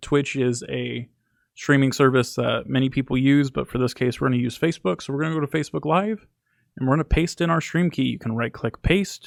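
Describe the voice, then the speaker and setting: A man's medium-pitched voice, with ordinary pitch variation, comes through on a very clean recording with a silent background. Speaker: software tutorial maker. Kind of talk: screen-recorded tutorial. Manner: fast; casual, with filler words.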